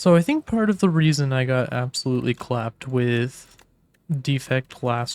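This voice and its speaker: A man uses an ordinary speaking voice at medium pitch, with ordinary pitch variation and a fairly slow pace. The sound is dry and close, with no echo. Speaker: gaming YouTuber. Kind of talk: gameplay commentary. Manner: casual, relaxed.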